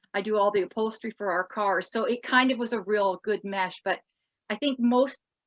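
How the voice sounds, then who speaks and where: In an ordinary speaking voice, a woman with a Canadian accent talks at a moderate pace with fairly high pitch and fairly even intonation. The sound is dry and close, with no echo. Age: 60s. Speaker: pinup contestant and retro clothing shop owner. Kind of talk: podcast interview.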